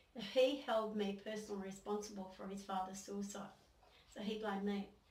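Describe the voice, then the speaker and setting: A woman speaking at a fairly quick pace in a flat monotone, with audible room echo. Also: medium pitch for a woman. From Australia, New South Wales. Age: 60s. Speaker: former local councillor, abuse survivor. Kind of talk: testimony. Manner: halting.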